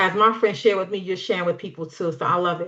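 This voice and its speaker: The background stays quiet. Here a woman talks in an American accent. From New York City. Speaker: business opportunity presenter. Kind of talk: live online sales presentation. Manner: animated.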